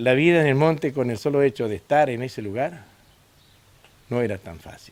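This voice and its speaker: A man speaks at a medium pitch with lively intonation and big swings in loudness. His pace is moderate, broken by long, frequent pauses. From northern Santa Fe, Argentina. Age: 60s. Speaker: former company worker, interviewee. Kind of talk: documentary interview. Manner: hesitant, many fillers.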